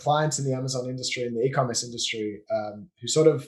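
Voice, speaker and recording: A man with an Australian accent and fairly even intonation. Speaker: business owner, offshoring and systems consultant. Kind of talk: podcast interview.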